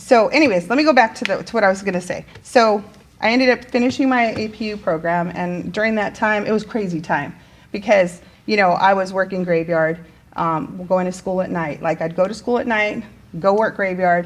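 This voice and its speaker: A woman talks at a fairly quick pace in an animated tone. Her pitch sits in the medium range. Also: ordinary pitch variation. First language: Spanish. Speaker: teacher. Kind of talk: casual interview chat. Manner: animated, many fillers.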